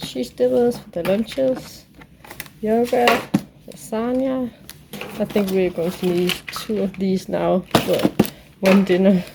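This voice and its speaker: A woman speaks at a very slow pace with long, frequent pauses, lively intonation, big swings in loudness and a medium pitch, over noticeable background noise. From Denmark. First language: Danish. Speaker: family vlogger. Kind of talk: casual vlog talk.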